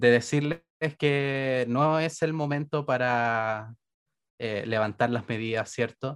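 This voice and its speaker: Medium-pitched male voice in a Chilean accent, with ordinary pitch variation. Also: very clean recording, silent background. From Chile, Santiago. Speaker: podcast co-host. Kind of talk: casual chat.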